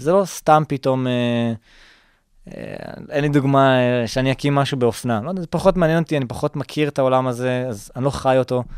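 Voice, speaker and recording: A man with an ordinary speaking voice talks at a fairly quick pace and medium pitch, with ordinary pitch variation. The recording is very clean with a silent background, its sound dry and close with no echo. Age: 20s. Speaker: startup founder and student. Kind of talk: interview.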